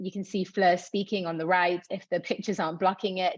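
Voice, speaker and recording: A woman with a Manchester accent, medium pitch and fairly quick pace, against a quiet background. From northern England, Manchester. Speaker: tech nonprofit co-founder. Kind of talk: presentation. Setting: video call.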